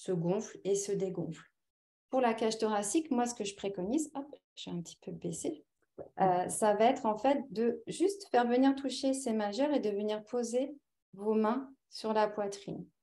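A woman's fairly high-pitched, dark and mellow voice at a fairly slow pace, with ordinary pitch variation. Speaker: naturopath and hypnotherapist. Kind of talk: webinar presentation and guided relaxation. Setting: video call. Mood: calm, soothing in relaxation. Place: home room. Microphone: webcam.

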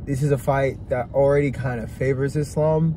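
In a dry recording with no echo and light background noise, a man speaks fairly slowly in a somewhat breathy, dark, mellow tone with fairly even intonation. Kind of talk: casual sports commentary chat. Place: car. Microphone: phone near.

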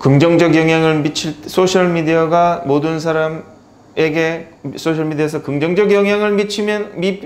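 The pitch variation sounds ordinary. This man's voice sits high. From South Korea. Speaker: English tutor. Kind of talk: lecture. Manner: casual, conversational. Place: classroom. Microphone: lapel.

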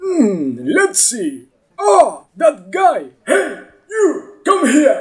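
A man does a cartoonish character voice at an extremely high pitch and a very slow pace.

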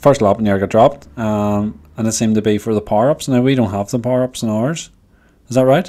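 Very fast, a man with a Belfast accent talks in a dark, mellow tone with ordinary pitch variation. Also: medium pitch for a man. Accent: Belfast Northern Irish. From Northern Ireland. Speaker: cycling podcast host, bike shop; cycling podcast host. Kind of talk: casual chat. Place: home room. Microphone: studio mic.

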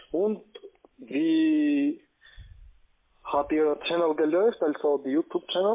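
Long, frequent pauses break up the man's very slow delivery. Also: fairly high pitch for a man, ordinary pitch variation, quiet background. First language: not German (speaking German). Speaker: scam call center agent. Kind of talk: casual chat. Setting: phone call. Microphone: phone line.

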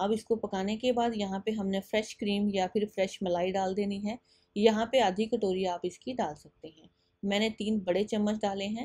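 With a dark, mellow tone, a woman speaks in fairly even intonation. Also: medium pitch for a woman, moderate pace.

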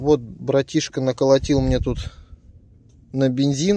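With a dark, mellow tone at medium pitch, a man talks at a fairly slow pace in a dry sound with no echo and light background noise. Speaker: metal detecting vlogger. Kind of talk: casual vlog commentary. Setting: outdoors in a field. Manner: animated. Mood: pleased, excited.

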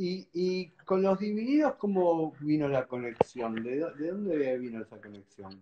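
Speaking at a very slow pace, a man with a fairly high pitch makes very wide pitch swings and big swings in loudness. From Argentina. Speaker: musician and interviewer; interviewer. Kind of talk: casual chat. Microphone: video call.

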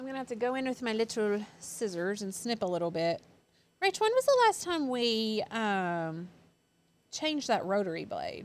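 Her pitch is fairly high and swings very widely. The woman keeps a moderate pace. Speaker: craft channel host. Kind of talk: live craft tutorial. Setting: studio. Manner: chatty. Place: studio.

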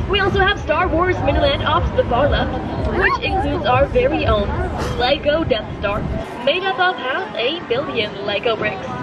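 The voice moves at a moderate pace over loud background noise. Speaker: theme park boat ride guide. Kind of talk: scripted theme park boat-tour spiel with corny jokes. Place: boat.

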